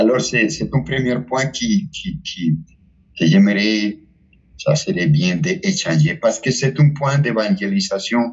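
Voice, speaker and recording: Very slow, somewhat breathy delivery with very wide pitch swings. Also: man. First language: Spanish (speaking French). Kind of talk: spiritual talk. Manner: halting, with many repetitions.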